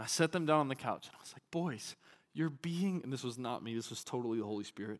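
A man with a Southern US accent and very wide pitch swings, in a very clean recording with a silent background. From Arkansas. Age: 30s. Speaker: pastor. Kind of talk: sermon.

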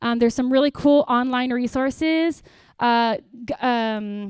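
A woman with a high pitch speaks at a fairly slow pace, using ordinary pitch variation. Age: 30s. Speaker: pastor. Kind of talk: church workshop talk. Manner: conversational.

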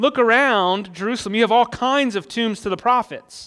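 A man with a high pitch and ordinary pitch variation, at a fairly quick pace, in a very clean recording with a silent background. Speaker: pastor. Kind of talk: sermon. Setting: church. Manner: fast talker; teaching, explanatory.

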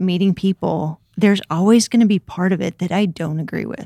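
Recorded dry and close with no echo, a woman with an American accent uses an ordinary speaking voice at medium pitch with ordinary pitch variation. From US South, Memphis, Tennessee. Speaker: church resource coordinator. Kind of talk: casual chat.

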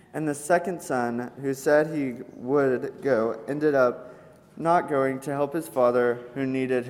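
This is a natural reading voice with fairly even intonation.

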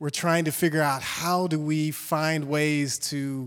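A man with a fairly high pitch talks at a fairly slow pace. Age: 40s. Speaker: community leader and publisher. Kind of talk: speech to church audience. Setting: church stage with audience. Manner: halting, many fillers.

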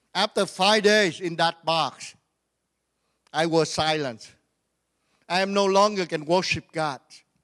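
A man with a Vietnamese accent speaks at a fairly slow pace in a high voice, with an animated tone, ordinary pitch variation, long and frequent pauses, and a dry, close sound with no echo. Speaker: pastor. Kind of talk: sermon. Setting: church.

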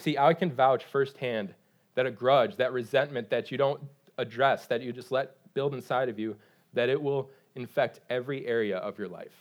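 With an American accent, this man has a normal speaking voice at a medium pitch, ordinary pitch variation and a moderate pace. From Michigan. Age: 30s. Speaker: pastor. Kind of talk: sermon.

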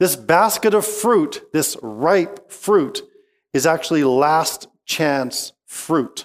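Speaking very slowly in a Western Canadian accent, a man with a high-pitched voice keeps his loudness very even. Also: lively intonation. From Okanagan Valley, British Columbia, Canada. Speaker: pastor. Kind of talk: sermon.

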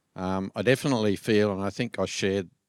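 On a very clean recording with a silent background, a man with an Australian accent speaks in a very deep, low voice with a dry, close sound and no echo. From Australia, rural New South Wales. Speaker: church member. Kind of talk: interview. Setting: church.

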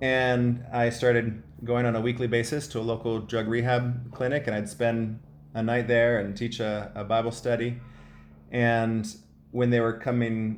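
A man with an American accent speaks in a monotone, flat intonation, with audible room echo. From US Midwest, Ohio. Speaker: missionary running a halfway house. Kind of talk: interview, personal testimony.

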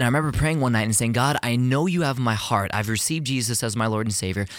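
A man with an American accent talks at a very fast pace in an animated tone, his pitch medium with ordinary variation. Audible room echo surrounds his voice. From Texas, Houston. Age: 20s. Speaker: athlete and worship leader. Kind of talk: interview.

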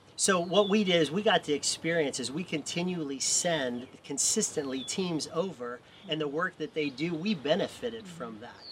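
A man with a fairly high pitch talks at a moderate pace with lively intonation and hardly any pauses over noticeable background noise. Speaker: missions trip volunteer. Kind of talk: interview.

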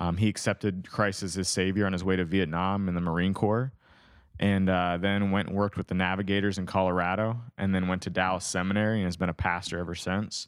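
A fairly low-pitched man at a fairly quick pace. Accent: American. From northwestern Pennsylvania, US. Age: 30s. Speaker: youth pastor. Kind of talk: casual podcast interview. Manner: subdued, not very excited-sounding.

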